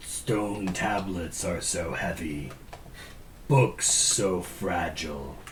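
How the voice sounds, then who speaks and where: In a put-on character voice, someone speaks at a very slow pace over clear background noise. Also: man, very deep, low pitch for a man. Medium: actual play. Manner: terse, clipped, imperious.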